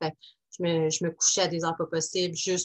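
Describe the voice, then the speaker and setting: In a Quebec accent, a woman speaks at a fairly quick pace with monotone, flat intonation. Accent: Québécois French. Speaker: life coach podcaster. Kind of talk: casual solo podcast monologue. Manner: hesitant with many fillers.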